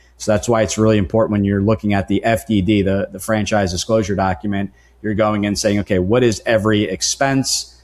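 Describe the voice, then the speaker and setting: A man with an American accent speaks in a fairly low pitch and with fairly even intonation. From New Jersey, US. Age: 40s. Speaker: franchise consultant. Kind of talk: podcast interview.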